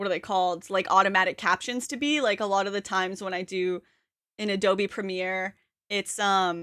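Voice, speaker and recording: A woman with a slight Canadian accent speaks in a bright, sharp tone and fairly even intonation. The recording is very clean, the background silent. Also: medium pitch for a woman, moderate pace. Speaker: streamer. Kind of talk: casual chat. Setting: live stream.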